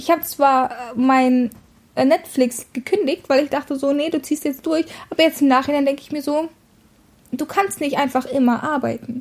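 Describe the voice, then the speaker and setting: Long, frequent pauses break up speech at a moderate pace with ordinary pitch variation. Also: woman, high pitch for a woman. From Russia. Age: 20s. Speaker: podcast co-host. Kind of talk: casual chat.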